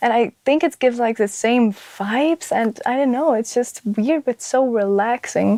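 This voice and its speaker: A woman with a Flemish accent speaks in a high voice with a dark, mellow tone, her loudness very even and the sound dry and close with no echo. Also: ordinary pitch variation, moderate pace. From Flanders, Belgium. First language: Dutch (Flemish). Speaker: ASMR content creator. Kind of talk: interview. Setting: studio.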